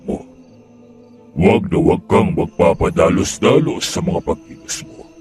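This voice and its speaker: A man performs a put-on character voice while music plays clearly in the background. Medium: read story. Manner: questioning, edgy.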